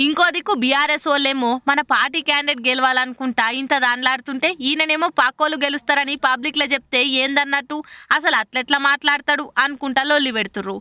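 The sound is dry and close with no echo as a woman talks at a fast pace. Her high pitch has ordinary variation and a bright, sharp tone.

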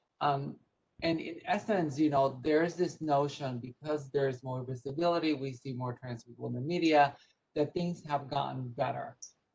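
A woman speaks at a moderate pace with a very deep, low pitch and a somewhat breathy voice. Her intonation stays fairly even. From Puerto Rico. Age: 50s. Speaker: nonprofit executive; panelist. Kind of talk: panel discussion. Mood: earnest, advocacy tone. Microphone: video call.

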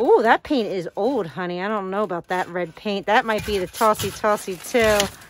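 Female voice with ordinary pitch variation, dry sound with no echo, and light background noise. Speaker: home decluttering vlogger. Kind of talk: casual vlog chat. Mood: nostalgic, reflective. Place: home room. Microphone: phone near.

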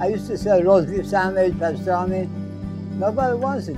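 Moderately paced male speech over clear background music. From Iran. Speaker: candy store owner. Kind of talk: interview answer. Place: shop.

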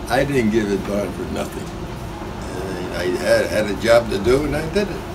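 The speech moves at a moderate pace. Background noise is noticeable. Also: man. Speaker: barber and World War II veteran. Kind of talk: interview answer. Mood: proud, cheerful. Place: shop.

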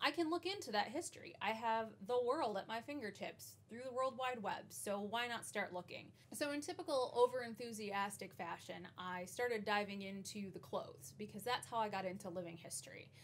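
A woman talks at a fairly quick pace with hardly any pauses. Her intonation is lively. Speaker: historical costuming vlogger. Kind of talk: casual vlog chat. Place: home room.

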